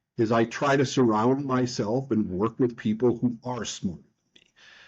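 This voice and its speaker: This man speaks at a medium pitch with an American accent. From United States. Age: 60s. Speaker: nonprofit leader and author. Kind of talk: podcast interview. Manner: animated.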